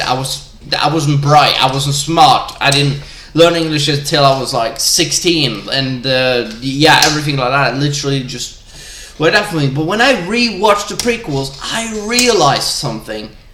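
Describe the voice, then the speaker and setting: A man's fairly high voice moves with lively intonation at a moderate pace, with audible room echo and noticeable background noise. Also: hardly any pauses. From Norway. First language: Norwegian. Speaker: gamer vlogger. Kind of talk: casual rant. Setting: live stream. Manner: animated; halting.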